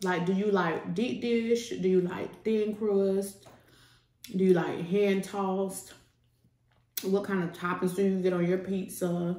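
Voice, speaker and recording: Audible room echo hangs around a woman who speaks at a fairly slow pace with monotone, flat intonation. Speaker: food vlogger. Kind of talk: casual vlog chat while eating. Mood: relaxed, playful. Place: home room.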